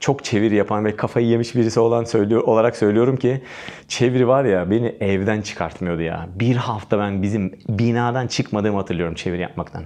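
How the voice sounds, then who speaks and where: A man with a fairly low pitch talks at a fairly quick pace in an animated tone against a quiet background. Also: hardly any pauses. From Turkey. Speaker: English exam teacher. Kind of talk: tutorial. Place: studio.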